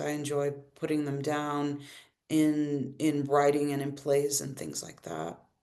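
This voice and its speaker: A woman's very deep, low voice at a very slow pace, with audible room echo. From US South (Arkansas), born in Brazil. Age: 50s. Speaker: queer elder artist and musician. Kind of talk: panel discussion. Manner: halting, many repetitions and fillers.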